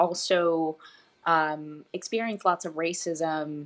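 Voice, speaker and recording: A woman speaks very slowly in a fairly low voice, her intonation fairly even. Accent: Spanish. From Puerto Rico, then Florida and Tennessee. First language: Spanish. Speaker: fitness coach. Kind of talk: interview.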